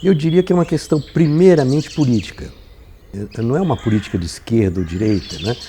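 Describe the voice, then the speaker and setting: Speaking at a fairly quick pace, a man with a medium pitch and a dark, mellow tone sounds somewhat breathy as his pitch swings very widely. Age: 80s+. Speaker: filmmaker. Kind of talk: interview testimony. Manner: halting, with many repetitions and fillers.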